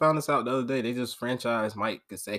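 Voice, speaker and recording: Here is a man with medium pitch and an unremarkable speaking voice. He talks at a fairly quick pace in a very clean recording with a silent background. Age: 20s. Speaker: sports podcast host. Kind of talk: solo sports commentary podcast. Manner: casual, filler-heavy.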